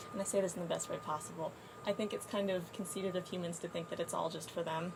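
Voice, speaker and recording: Speaking very fast with an American accent, a woman with a fairly low pitch keeps a fairly even intonation over noticeable background noise. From East Texas. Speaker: university student, atheist. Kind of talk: casual debate. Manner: hesitant, many fillers.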